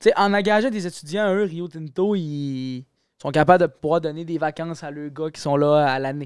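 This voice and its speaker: A man with a normal speaking voice talks at a fairly high pitch and a moderate pace, with ordinary pitch variation. His loudness swings widely, and the recording is very clean, with a silent background. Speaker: university student. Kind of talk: casual chat. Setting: studio.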